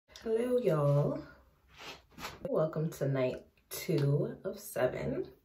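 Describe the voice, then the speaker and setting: A woman with a fairly low pitch speaks at a very slow pace, with very wide pitch swings and long, frequent pauses. Audible room echo and light background noise are present. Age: 20s. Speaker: beauty vlogger. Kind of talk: casual vlog talk to camera. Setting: home bathroom. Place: bathroom. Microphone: phone near.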